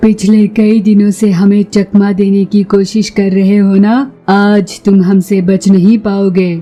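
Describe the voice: Over faint background music, a female-sounding cartoonish character voice at medium pitch talks at a fairly slow pace with flat, monotone intonation and hardly any pauses.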